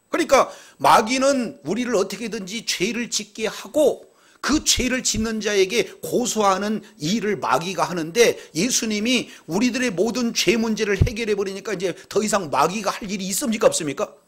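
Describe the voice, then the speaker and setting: This man has a high pitch and speaks at a moderate pace. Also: ordinary pitch variation. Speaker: pastor. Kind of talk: sermon. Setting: church.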